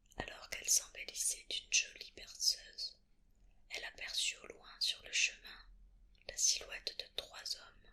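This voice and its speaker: The speaker whispers at a fairly slow pace. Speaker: ASMR creator. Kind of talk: read story. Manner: whispered.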